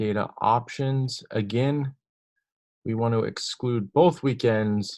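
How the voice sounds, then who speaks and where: The quiet background holds a man's fairly low-pitched voice. His intonation is lively. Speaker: software demo presenter. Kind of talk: tutorial.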